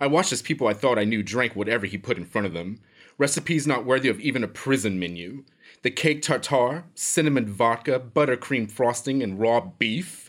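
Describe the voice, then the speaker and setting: Recorded very cleanly against a silent background, a man with a normal speaking voice talks at a moderate pace, medium in pitch and lively in intonation. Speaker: villainous prisoner character. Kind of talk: scripted comedic dialogue. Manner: haughty, disdainful, snobbish.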